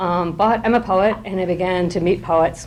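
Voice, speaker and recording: A woman's voice with ordinary pitch variation carries audible room echo. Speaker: professor and poet. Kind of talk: informal lecture. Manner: many fillers and restarts.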